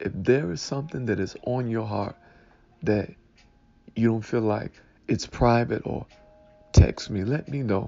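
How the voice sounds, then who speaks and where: A man speaks fairly slowly at a medium pitch with ordinary pitch variation. He leaves long, frequent pauses. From Detroit, Michigan. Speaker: pastor. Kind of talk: Sunday morning devotional talk.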